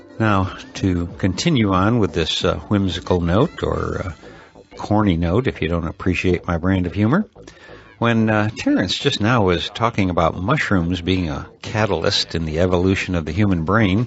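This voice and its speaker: Music plays behind a man with a very deep, low pitch. He speaks at a moderate pace with ordinary pitch variation. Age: 60s. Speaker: podcast host. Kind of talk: podcast outro commentary. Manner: many filler uhs, casual.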